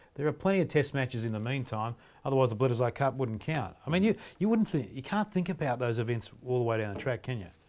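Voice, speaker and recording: A man with an Australian accent at a medium pitch, very fast and with lively intonation, on a very clean recording with a silent background. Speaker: rugby podcast host. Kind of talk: casual sports chat.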